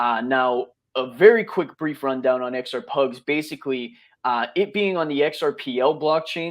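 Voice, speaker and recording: Here a man with a normal speaking voice talks with lively intonation. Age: 20s. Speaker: crypto project founder. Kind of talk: live audio interview.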